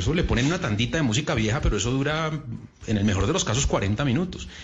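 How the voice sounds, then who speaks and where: Talking at a very fast pace with lively intonation, a man is heard through audible room echo and noticeable background noise. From Uruguay. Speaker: radio host. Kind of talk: casual chat.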